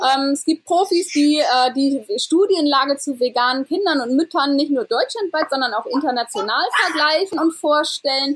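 A high-pitched woman talks with lively intonation and very even loudness, hardly pausing, in a dry, close sound with no echo. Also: moderate pace. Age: 30s. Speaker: vegan parenting blogger and congress organizer. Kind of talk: interview.

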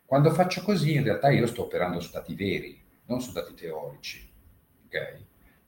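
A man's speech has big swings in loudness and comes at a fairly quick pace. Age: 50s. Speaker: former fund manager and derivatives trader. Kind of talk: casual chat. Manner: halting.

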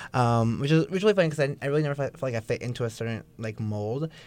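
A man with an American accent speaks at a very fast pace with ordinary pitch variation. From US Bay Area, California. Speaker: student opinions editor. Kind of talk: casual interview chat. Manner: animated, filler-heavy, laughs often.

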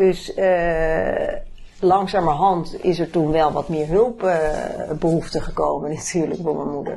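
With audible room echo and noticeable background noise, a woman talks at a fairly slow pace in a fairly low pitch with fairly even intonation. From Netherlands, Bennebroek near Haarlem. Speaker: family caregiver. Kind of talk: personal testimony in interview. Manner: halting, many fillers.

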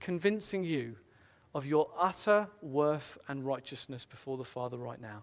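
With a British accent, this voice moves along at moderate speed. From Britain. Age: 30s. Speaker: preacher. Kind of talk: sermon. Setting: church.

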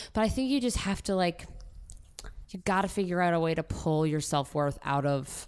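In a very clean recording with a silent background, a woman with an American accent and a plain, everyday voice speaks at a moderate pace, her fairly low pitch carried by lively intonation. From Maryland, US. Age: 20s. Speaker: actor. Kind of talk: casual chat.

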